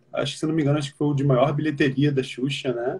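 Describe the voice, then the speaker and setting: A somewhat breathy, fairly high male voice with monotone, flat intonation. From Brazil, Rio de Janeiro. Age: 30s. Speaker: actor. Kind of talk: interview.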